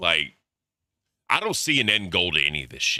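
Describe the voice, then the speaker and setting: An animated man with an American accent and a bright, sharp tone. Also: very clean recording, silent background. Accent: slight Southern drawl at times. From US South. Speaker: commentary streamer. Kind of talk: live reaction commentary. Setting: livestream. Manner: casual, animated.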